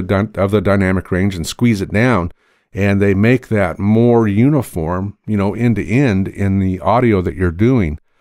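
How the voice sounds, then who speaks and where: An unremarkable speaking voice from a man, moderate in pace with ordinary pitch variation, on a very clean recording with a silent background. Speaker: audio tutorial youtuber. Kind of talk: tutorial. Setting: sound-treated spare bedroom. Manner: casual, conversational. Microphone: studio condenser mic, later USB mini mic.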